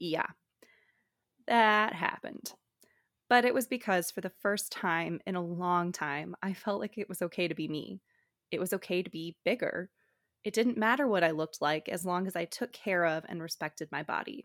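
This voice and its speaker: In a General American accent, a woman with fairly low pitch talks at a moderate pace with ordinary pitch variation, in a very clean recording with a silent background and a dry, close sound with no echo. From Colorado. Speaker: podcast host, dietetics student. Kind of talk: personal monologue.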